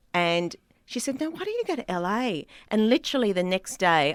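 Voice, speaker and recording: A woman speaks with an Australian accent and lively intonation. The recording is very clean and dry, close with no echo, over a silent background. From Australia, Sydney. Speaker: comedian. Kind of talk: casual chat.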